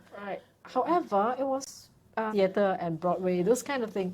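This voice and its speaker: Against noticeable background noise, a woman speaks at a moderate pace and medium pitch with lively intonation. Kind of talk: interview.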